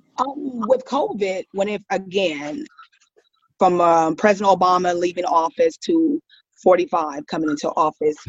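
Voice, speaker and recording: A woman with an American accent talks at a medium pitch and fairly slow pace, her pitch swinging very widely. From US, military brat; Ohio and Mississippi. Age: 50s. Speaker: school staff member, podcast guest. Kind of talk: casual chat. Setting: online call.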